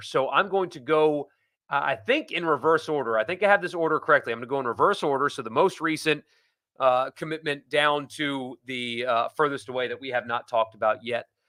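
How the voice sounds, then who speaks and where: Recorded very cleanly against a silent background, a man speaks at a fairly high pitch with ordinary pitch variation and a bright, sharp tone. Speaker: sports podcast host. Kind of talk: live sports talk show.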